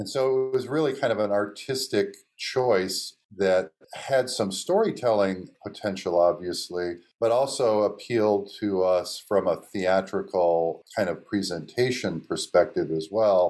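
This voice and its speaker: A man with a normal speaking voice talks at a fairly slow pace. His pitch is fairly low, with ordinary variation. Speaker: film writer director. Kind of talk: interview.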